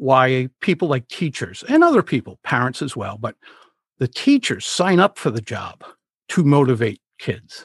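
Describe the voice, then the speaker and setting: Against a quiet background, a somewhat breathy voice with a New England accent moves at a moderate pace with lively intonation, the sound dry and close with no echo. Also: man, fairly high pitch for a man. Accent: New England American. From Rhode Island, US. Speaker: public speaking coach. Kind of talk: casual interview conversation.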